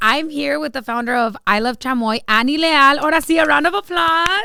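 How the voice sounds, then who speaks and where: With noticeable noise behind it, the voice moves at a fairly quick pace in an animated tone, its pitch swinging very widely. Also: woman. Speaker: podcast host. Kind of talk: casual chat.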